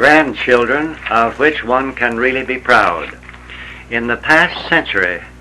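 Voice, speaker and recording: Over noticeable background noise, a man speaks fairly slowly at a medium pitch with ordinary pitch variation. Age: 70s. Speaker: retired farmer. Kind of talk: reading aloud. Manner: formal.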